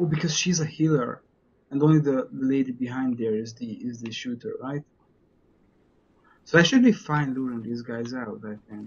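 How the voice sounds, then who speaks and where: With a non-native accent, a man speaks at medium pitch and a moderate pace, somewhat breathy, with ordinary pitch variation. There are long, frequent pauses and big swings in loudness. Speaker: streamer / let's play gamer; streamer, let's play gamer. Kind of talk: casual gameplay commentary. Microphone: headset.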